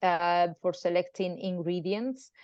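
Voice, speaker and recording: With a Spanish accent, a woman of medium pitch speaks at a moderate pace. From Spain. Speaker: pharmacist. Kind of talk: online presentation and interview. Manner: halting.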